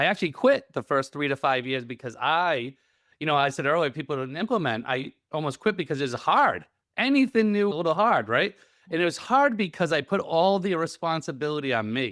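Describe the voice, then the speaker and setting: A man's fairly high voice with a slight Rhode Island accent, lively intonation and a fairly quick pace, on a very clean recording with a silent background. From Rhode Island, New England. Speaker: real estate coach and investor. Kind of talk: interview conversation.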